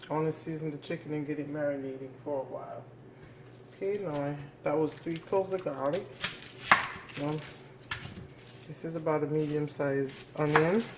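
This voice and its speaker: A woman speaks quietly at a fairly quick pace, her voice very deep and low with fairly even intonation. Long, frequent pauses break up her speech, and noticeable background noise runs underneath. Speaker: home cooking channel host. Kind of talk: cooking tutorial. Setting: home kitchen. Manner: speaking quietly; casual, with fillers.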